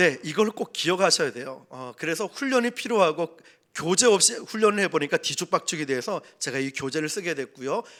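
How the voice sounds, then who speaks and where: A man with a Busan accent speaks in an animated tone at a high pitch and fairly quick pace, his pitch swinging very widely and his loudness swinging a lot. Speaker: pastor, evangelism trainer. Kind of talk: sermon. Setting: church service. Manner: animated storytelling.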